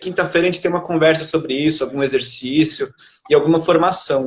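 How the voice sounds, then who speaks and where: A man at a very fast pace, fairly even in intonation. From Brazil, São Paulo. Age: 30s. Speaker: poet and literature researcher. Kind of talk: interview.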